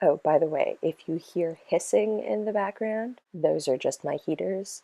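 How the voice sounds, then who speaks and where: A quiet woman at a moderate pace, with a dry, close sound and no echo. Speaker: witchcraft practice vlogger. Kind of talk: lecture. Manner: quiet, low-voiced.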